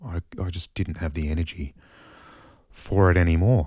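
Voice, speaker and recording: An Australian accent is heard on a very clean recording with a silent background. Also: man. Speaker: mushroom grower, musician. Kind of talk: casual vlog monologue. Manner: halting, many fillers.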